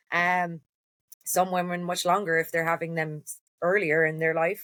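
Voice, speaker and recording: A woman speaks with a fairly low pitch and flat, monotone intonation. She moves at a moderate pace. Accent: Cork. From Cork, Ireland. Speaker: endometriosis advocate. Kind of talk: podcast interview answer.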